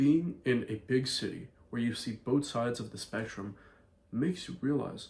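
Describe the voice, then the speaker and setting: A man with an American accent talks in a somewhat breathy, medium-pitched voice with ordinary pitch variation. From Ireland. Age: 20s. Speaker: vlogger and entrepreneur. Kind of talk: casual vlog monologue.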